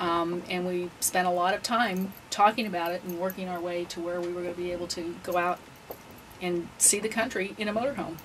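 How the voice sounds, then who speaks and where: With fairly even intonation and a fairly low pitch, this woman has a plain, everyday voice. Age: 60s. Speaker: retired full-time RVer. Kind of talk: interview.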